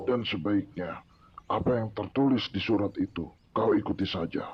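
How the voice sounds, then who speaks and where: A man's put-on character voice, growling and fairly low in pitch. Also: moderate pace. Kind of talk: radio drama performance. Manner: harsh, snarling.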